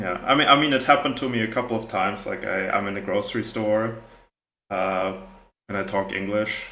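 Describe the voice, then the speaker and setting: This man speaks fairly quickly with an American accent and a fairly low pitch. His pitch varies in an ordinary way, and there is audible room echo. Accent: American-sounding English. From Germany. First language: German. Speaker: video game streamer. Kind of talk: casual live-stream chat. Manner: relaxed, many fillers.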